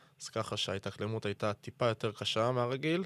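Heard with a dry, close sound and no echo, a man speaks at a fairly quick pace in a plain, everyday voice pitched fairly low. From Israel, Tel Aviv. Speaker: professional footballer. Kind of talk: podcast interview.

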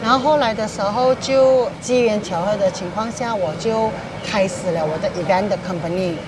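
A woman talks at a moderate pace and medium pitch with ordinary pitch variation. Noticeable background noise and audible room echo are present. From Penang, Malaysia. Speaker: hawker stall owner, former flight attendant. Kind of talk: personal testimony interview.

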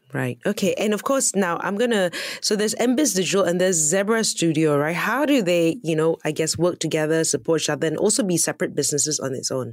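Through noticeable background noise, a woman with a fairly low pitch speaks very fast with lively intonation and hardly any pauses. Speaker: radio host. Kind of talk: radio interview. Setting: studio.

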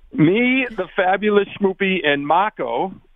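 A man talks in a Boston accent. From Boston, South Boston. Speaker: caller. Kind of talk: casual chat. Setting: phone call.

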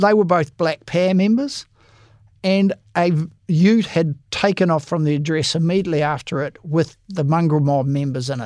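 A man speaks at a moderate pace with a high pitch. His pitch varies in an ordinary way, and the recording is very clean with a silent background. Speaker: police association head, former detective. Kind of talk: interview.

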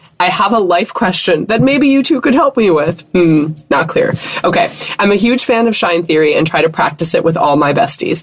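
This voice keeps a very even loudness while its pitch swings very widely, over noticeable background noise. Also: woman, medium pitch for a woman, moderate pace. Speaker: podcast co-host. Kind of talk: casual chat.

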